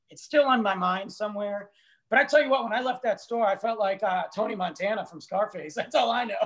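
Fairly quick speech with ordinary pitch variation and big swings in loudness, against a quiet background. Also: man, high pitch for a man. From Italian-American. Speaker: author and humorist; co-host. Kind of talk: casual chat. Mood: joking, humorous storytelling. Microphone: video call.

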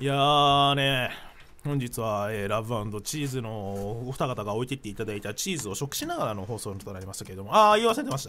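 A man talks at a fairly quick pace with ordinary pitch variation. His tone is animated, bright and sharp. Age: 20s. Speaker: internet radio co-host, voice actor. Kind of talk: casual chat. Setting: studio, live-streamed recording. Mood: relaxed, joking. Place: studio. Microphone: studio mic.

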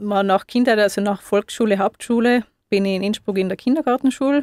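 A woman speaks in a normal speaking voice. Her pitch is fairly high, with ordinary pitch variation. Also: dry, close sound with no echo. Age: 30s. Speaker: osteopath. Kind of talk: radio interview. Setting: radio studio.

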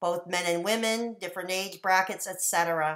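A woman's bright, sharp tone at a moderate pace against a quiet background. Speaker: vlogger sharing a personal story. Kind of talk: casual vlog chat. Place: home room. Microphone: webcam.

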